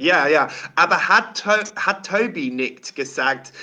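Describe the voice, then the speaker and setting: A man's bright, sharp voice with an English accent and ordinary pitch variation. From England. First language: English (speaking German). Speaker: rock singer. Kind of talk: casual interview. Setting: remote call at his workplace. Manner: halting.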